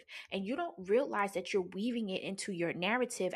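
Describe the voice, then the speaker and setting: This woman has an unremarkable speaking voice at medium pitch. She talks with an American accent and fairly even intonation. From New Jersey. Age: 40s. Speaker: podcast host, pleasure practitioner. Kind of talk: personal storytelling monologue. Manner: casual, frequent laughter.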